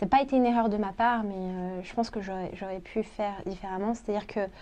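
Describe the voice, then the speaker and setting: A woman's medium-pitched voice with a dark, mellow tone and fairly even intonation. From France, Portuguese-born parents. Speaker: expat interviewee. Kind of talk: interview. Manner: hesitant.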